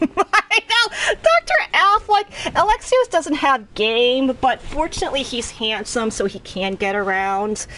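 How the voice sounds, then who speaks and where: A woman with an American accent projects a raised, high-pitched voice with very wide pitch swings. She talks at a fairly slow pace with hardly any pauses, over noticeable background noise. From US Northeast (Boston, Northern Virginia, Philadelphia). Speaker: video game streamer. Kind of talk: casual live-stream commentary. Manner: conversational, with hesitations.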